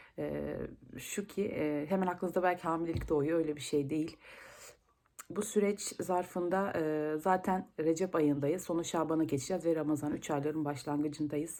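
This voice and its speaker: A dark, mellow tone at a moderate pace, with fairly even intonation. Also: woman, very deep, low pitch for a woman. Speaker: vlogger. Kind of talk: vlog monologue. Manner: hesitant, many filler sounds.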